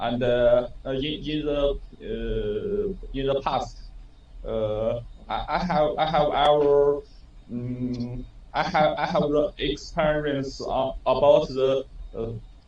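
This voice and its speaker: Somewhat breathy and fairly high-pitched, a man talks at a very slow pace with ordinary pitch variation. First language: Chinese. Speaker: engineer. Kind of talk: self-introduction in training. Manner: halting.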